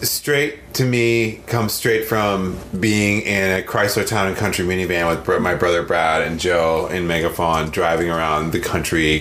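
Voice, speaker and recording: A man with an American accent at a moderate pace, with ordinary pitch variation, noticeable background noise and audible room echo. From northern Wisconsin, US Midwest. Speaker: musician and record producer. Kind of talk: casual chat.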